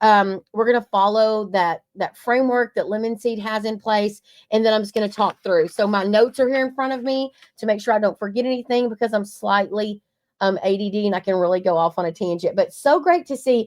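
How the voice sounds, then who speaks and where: A woman speaks in a strong Southern US accent at a fairly quick pace, her voice fairly high with ordinary pitch variation. Her tone is animated, and the sound is dry and close with no echo. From East Texas. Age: 40s. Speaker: marketing agency co-owner. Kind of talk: webinar presentation.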